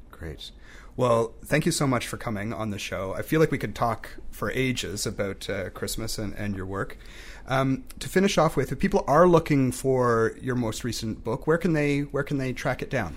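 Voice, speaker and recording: Vocal fry runs through this voice, which has lively intonation and a moderate pace. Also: man, medium pitch for a man. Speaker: podcast host. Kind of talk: interview.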